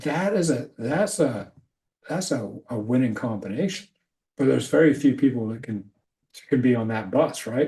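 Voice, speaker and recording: Somewhat breathy and dark, mellow in tone, a man speaks at a moderate pace and medium pitch with lively intonation. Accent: American. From Scotland. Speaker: leadership coach. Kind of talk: casual chat.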